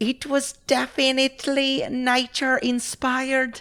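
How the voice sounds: A female-sounding, put-on character voice, pitched high for a woman. The delivery comes at a fairly slow pace.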